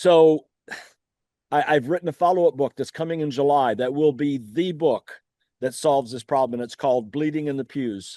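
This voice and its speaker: A man's fairly high-pitched voice, dark and mellow in tone, with ordinary pitch variation and a dry, close sound with no echo. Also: moderate pace, quiet background. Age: 70s. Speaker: author and childhood trauma advocate. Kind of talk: interview. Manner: animated.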